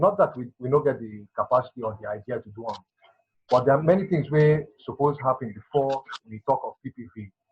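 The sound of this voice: A man talks at a fairly quick pace with a slightly husky edge. His pitch is medium, with ordinary pitch variation.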